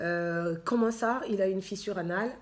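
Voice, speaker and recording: A woman talks at a very slow pace. Her pitch is medium. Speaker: charity founder and author. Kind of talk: personal testimony with reading aloud. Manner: hesitant, many fillers.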